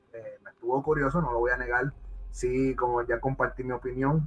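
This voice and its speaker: The speech moves at a moderate speed. It is a normal speaking voice. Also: man. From Puerto Rico. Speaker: podcast host. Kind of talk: casual chat. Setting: live stream.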